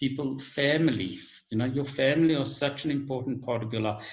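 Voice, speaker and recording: Audible room echo fills the space. Through it, a man talks with ordinary pitch variation. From South Africa, Johannesburg. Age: 50s. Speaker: guest on online talk show. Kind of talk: casual chat. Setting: video call.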